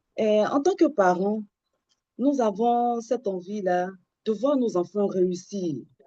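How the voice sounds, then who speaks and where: A woman's very slow delivery in a dark, mellow tone, medium in pitch with ordinary pitch variation. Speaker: parenting counselor trainee. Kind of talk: online training presentation. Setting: video call.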